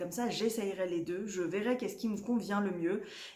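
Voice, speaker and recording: A woman's medium-pitched voice with audible room echo. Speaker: knitting podcaster. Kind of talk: casual vlog chat. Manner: halting, many fillers.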